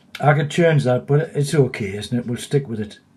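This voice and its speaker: Speaking at medium pitch, a man has a somewhat breathy voice with a dark, mellow tone. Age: 60s. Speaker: digital skills tutor. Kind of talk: tutorial. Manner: calm, explanatory.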